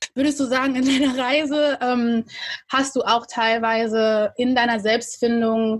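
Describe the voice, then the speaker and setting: A woman with an ordinary speaking voice talks at a fairly slow pace and a fairly high pitch. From Germany. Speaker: podcast co-host. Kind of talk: casual interview.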